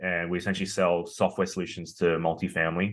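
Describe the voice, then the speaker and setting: Quiet background behind a man speaking. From Australia. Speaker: tech company founder and CEO. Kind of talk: interview. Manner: hesitant with many fillers.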